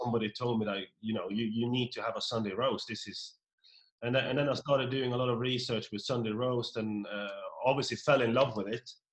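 Here a man speaks in a Norwegian accent at a very fast pace. His pitch is medium and his intonation monotone and flat. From rural Norway. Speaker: pub owner. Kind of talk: casual interview. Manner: halting, frequent repetitions.

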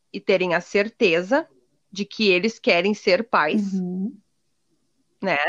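The sound is close and dry, without any echo. It is a woman who speaks. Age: 30s. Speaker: entrepreneur and adoptive mother. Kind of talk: casual interview.

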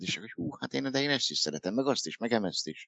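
With lively intonation, a man speaks in a normal speaking voice at a fairly low pitch. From Hungary, Dunaújváros. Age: 50s. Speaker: author. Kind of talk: interview.

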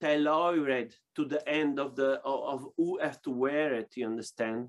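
Speaking with an Italian accent, a man uses a fairly high pitch, fairly even intonation and a fairly slow pace. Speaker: boxing glove maker. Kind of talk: interview. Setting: video call. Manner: halting.

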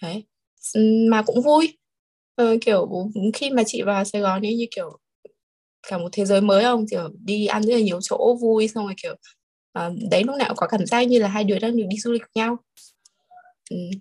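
A woman with a fairly high pitch and ordinary pitch variation sounds somewhat breathy. She talks at a fairly quick pace but leaves long, frequent pauses. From Hanoi, northern Vietnam. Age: 20s. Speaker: export company employee. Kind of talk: casual chat.

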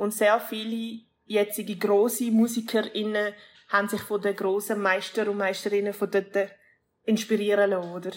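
A woman's medium-pitched delivery stays monotone and flat while moving at a moderate pace. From Switzerland, Basel region. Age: 30s. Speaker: rapper. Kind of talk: casual interview. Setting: video call from Colombia.

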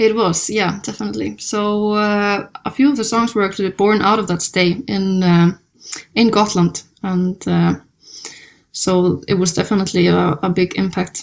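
Speaking in an Icelandic accent, a woman at a medium pitch keeps a fairly slow pace and fairly even intonation. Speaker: jazz pianist and singer-songwriter. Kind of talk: interview. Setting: hotel room.

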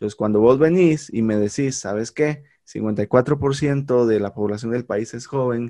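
Fairly slow speech from a man with a medium pitch, a dark, mellow tone and fairly even intonation. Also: quiet background. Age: 30s. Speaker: podcast host, teacher by profession. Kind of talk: casual conversation.

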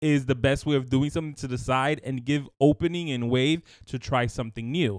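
With a normal speaking voice, a man talks at a moderate pace using ordinary pitch variation. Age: 30s. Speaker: podcast co-host. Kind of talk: casual chat.

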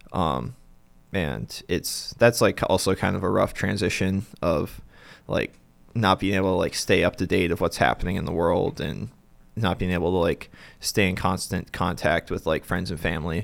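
At a moderate pace, a man talks in a very deep, low voice with vocal fry and ordinary pitch variation, on a very clean recording with a silent background. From North Dakota, US. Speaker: seminarian. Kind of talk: interview. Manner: hesitant, many fillers.

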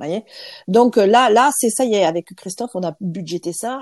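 Medium in pitch with ordinary pitch variation, a woman talks at a moderate pace. The sound is dry and close with no echo, over a quiet background. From France. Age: 50s. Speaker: lawyer and trainer. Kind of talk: interview testimony. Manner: halting.

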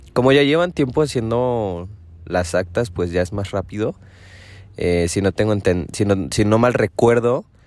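A man with a Mexican accent talks at a fairly slow pace and a fairly low pitch, with lively intonation. The recording is very clean, with a silent background. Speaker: podcaster. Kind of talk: casual monologue. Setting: in a parked car.

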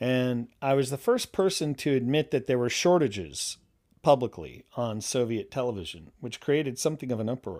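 An unremarkable speaking voice from a man, with a medium pitch, ordinary pitch variation, a moderate pace, and a very clean recording with a silent background. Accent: American. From New York State, US. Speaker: language expert. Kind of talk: interview.

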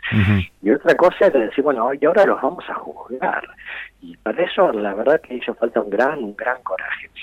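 Using very wide pitch swings and big swings in loudness, a man with a medium pitch speaks at a moderate pace. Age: 70s. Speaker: lawyer and author. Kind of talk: interview.

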